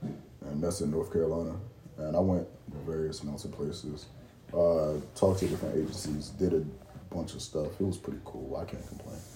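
A man's calm, dark, mellow voice, somewhat breathy, with fairly even intonation and big swings in loudness. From Baltimore. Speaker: Marine Corps veteran and aspiring podcaster. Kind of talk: casual chat.

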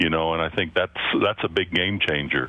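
A man is talking. His pace is fairly quick. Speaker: state high school athletics commissioner. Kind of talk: radio interview.

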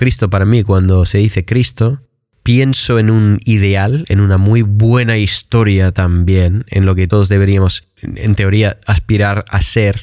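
At a fairly low pitch, a man speaks at a fairly slow pace with fairly even intonation and very even loudness. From Michigan, US. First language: English (speaking Spanish). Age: 20s. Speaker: English teacher. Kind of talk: casual chat.

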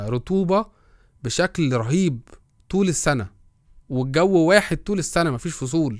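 With lively intonation and a moderate pace, a man is heard on a very clean recording with a silent background. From Egypt. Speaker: product strategy and design podcaster. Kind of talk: casual solo talk. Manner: halting, many fillers.

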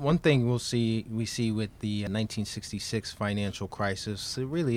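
Using a plain, everyday voice, a man with an American accent speaks at a moderate pace, his fairly low pitch showing ordinary pitch variation. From Queens, New York. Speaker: history professor. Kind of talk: academic interview.

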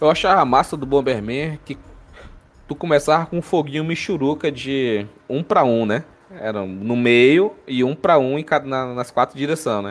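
The man's medium-pitched voice moves at a moderate pace, its intonation lively. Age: 20s. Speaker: podcast host about anime. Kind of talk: casual chat. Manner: animated.

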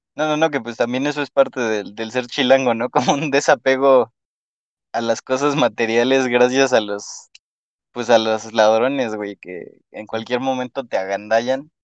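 A man speaks at a medium pitch with fairly even intonation. The sound is dry and close with no echo, against a quiet background. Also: fairly slow pace. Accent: Mexico City. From Mexico City. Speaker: podcast host. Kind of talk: casual chat.

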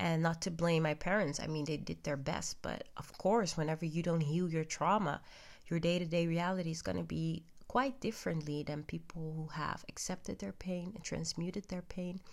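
Speaking at a moderate pace with a non-native accent, the voice has ordinary pitch variation. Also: woman, fairly low pitch for a woman. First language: not English. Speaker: podcaster. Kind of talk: personal monologue. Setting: at home in bed. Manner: halting.

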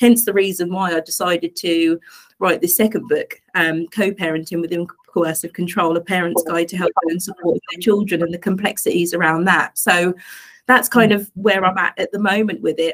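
A woman's fairly low voice with an East Anglian accent, fairly even intonation and a fairly quick pace. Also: dry, close sound with no echo. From England, Suffolk. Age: 40s. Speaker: life coach and domestic abuse advocate. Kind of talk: interview testimony.

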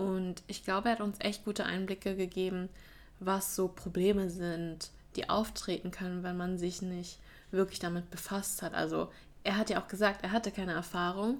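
At a moderate pace, a woman speaks in a monotone, flat intonation at medium pitch. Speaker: university student. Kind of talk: casual chat. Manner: occasional slips, more used to English.

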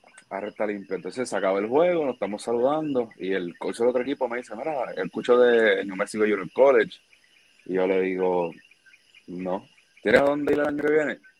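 In a Puerto Rican accent, a man talks at a fairly quick pace and medium pitch. His intonation is lively. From Puerto Rico. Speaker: baseball player. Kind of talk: interview.

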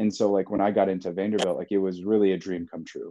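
A man's fairly low, dark, mellow voice with an American accent, fairly even intonation and a fairly quick pace over a quiet background. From US Midwest. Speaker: graduate student, fiction author and ultrarunner. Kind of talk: casual chat.

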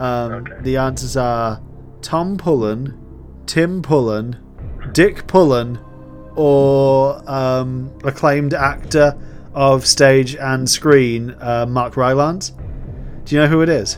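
Clear music plays behind a man doing a put-on character voice. He speaks at a very slow pace with a medium pitch. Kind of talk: TV game show host patter.

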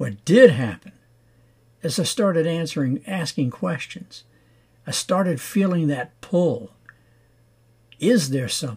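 Vocal fry marks this man's fairly high voice, with very wide pitch swings. He talks at a fairly slow pace with long, frequent pauses. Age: 70s. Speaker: faith podcast host and lay preacher. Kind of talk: devotional sermon.

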